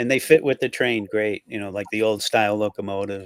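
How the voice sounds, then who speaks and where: A man speaks in an unremarkable speaking voice, fairly low in pitch. The sound is dry and close, without echo. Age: 60s. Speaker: show host. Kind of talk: casual chat.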